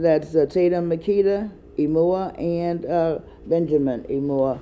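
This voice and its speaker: A woman with an American accent and a fairly low pitch. Her pitch varies in an ordinary way. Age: 60s. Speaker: educator and ministry board member. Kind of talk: casual talk show monologue. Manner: halting, many fillers.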